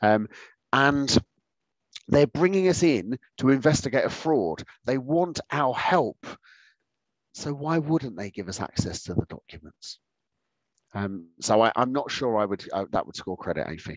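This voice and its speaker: A man with very wide pitch swings, big swings in loudness, a fairly slow pace and long, frequent pauses, in a dry sound with no echo over a quiet background. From UK. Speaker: accountancy exam tutor. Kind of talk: online exam-prep webinar lecture. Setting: video call. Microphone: webcam.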